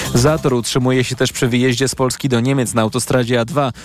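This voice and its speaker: A man rattles off his words very fast in a medium-pitched voice. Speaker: radio newsreader. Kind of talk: news reading. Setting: studio.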